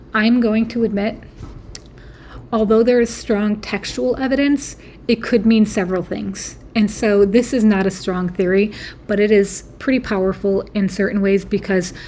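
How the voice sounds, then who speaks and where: A woman's somewhat breathy voice at medium pitch, with fairly even intonation. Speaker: YouTube theory video creator. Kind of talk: casual monologue. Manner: hesitant, many fillers.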